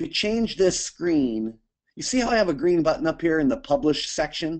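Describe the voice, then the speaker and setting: Over a quiet background, a man speaks in a high pitch with very wide pitch swings. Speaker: software developer answering user questions. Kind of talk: live Q&A webinar. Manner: fast.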